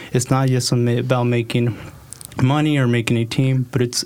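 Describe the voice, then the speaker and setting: There is noticeable background noise behind a man. He talks at a fairly slow pace with a medium pitch. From Oregon, US (Hillsboro/Forest Grove, Mexican family). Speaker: health startup founder. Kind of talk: interview.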